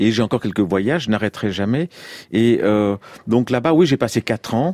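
In a very clean recording with a silent background, a man at medium pitch talks at a fairly quick pace with lively intonation and long, frequent pauses. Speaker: photographer. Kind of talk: radio interview. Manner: fast; halting.

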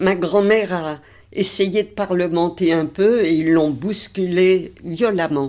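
In a very clean recording with a silent background, a woman speaks very slowly in a dark, mellow tone, her fairly low pitch showing ordinary variation. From Paris, 20th arrondissement. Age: 80s+. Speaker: Holocaust survivor. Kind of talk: testimony.

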